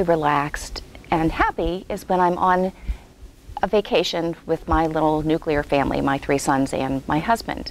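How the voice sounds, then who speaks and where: Speaking at a moderate pace, a woman with a fairly low pitch and ordinary pitch variation comes through with a dry sound with no echo and light background noise. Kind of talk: interview answer. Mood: warm, calm. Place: hall.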